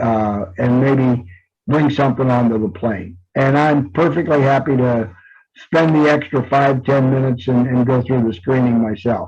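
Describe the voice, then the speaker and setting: A man's somewhat breathy, medium-pitched voice with ordinary pitch variation, a moderate pace and very even loudness. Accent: American. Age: 70s. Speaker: travel agency owner and host. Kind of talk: monthly update for customers. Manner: casual, hesitant with many fillers.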